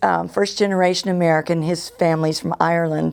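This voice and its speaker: The woman speaks with a fairly low pitch. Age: 70s. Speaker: composer and retired church choir director. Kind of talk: interview testimony. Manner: conversational with fillers.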